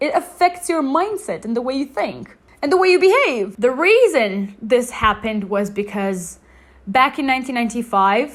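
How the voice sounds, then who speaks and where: Very wide pitch swings run through a woman's high-pitched speech. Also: moderate pace. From Bosnia and Herzegovina. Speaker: English-language youtuber. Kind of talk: casual vlog storytelling. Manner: animated.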